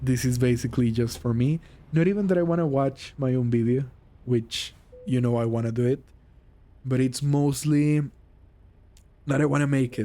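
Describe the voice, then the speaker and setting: A man speaks at a medium pitch with a Mexican accent and ordinary pitch variation. He keeps his loudness very even and pauses long and often. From Mexico. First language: Spanish. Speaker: vlogger. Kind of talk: casual monologue. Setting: gaming while recording, driving a truck game. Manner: slow. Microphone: poor microphone.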